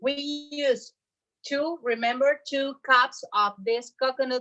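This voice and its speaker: Speaking with a Bogota accent, a woman has a bright, sharp tone. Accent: Colombian Spanish accent, Bogota-tinged. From Colombia, Cartagena. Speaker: chef. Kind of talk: cooking class. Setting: home kitchen. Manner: animated.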